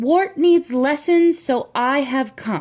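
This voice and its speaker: A woman puts on a character voice with a high pitch, speaking at a very slow pace. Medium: read story. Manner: patient, instructive.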